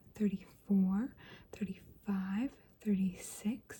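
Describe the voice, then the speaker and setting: Whispering at a very slow pace, a soft-spoken woman sounds somewhat breathy. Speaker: ASMR creator playing a doctor. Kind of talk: ASMR doctor roleplay. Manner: whispered, soft-spoken.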